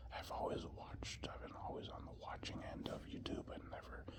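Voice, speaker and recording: With noticeable background noise around it, a whisper moves along at a moderate pace. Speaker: construction worker. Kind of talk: whispered casual ramble. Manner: whispered; rambling, casual.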